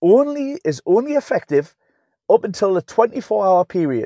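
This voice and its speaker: In a Geordie accent, a man speaks fairly slowly in an animated tone, with very wide pitch swings. The recording is very clean and silent behind him, the sound dry and close with no echo. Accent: Geordie (Newcastle English). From Newcastle upon Tyne, England. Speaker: strength and conditioning coach. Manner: blunt, animated, rambling, swears.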